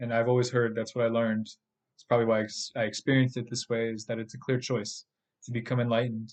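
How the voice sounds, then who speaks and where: In a flat, monotone delivery, a man talks at a fairly quick pace with a medium-pitched voice. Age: 30s. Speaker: podcast host and spiritual teacher. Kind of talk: monologue podcast. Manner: casual, with filler words and repetitions.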